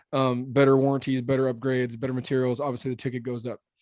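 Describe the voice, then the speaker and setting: A man with an American accent talks at a very fast pace. His pitch is medium and his tone is dark and mellow. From Arizona, Phoenix area. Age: 30s. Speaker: roofing company owner. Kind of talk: podcast interview. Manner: animated.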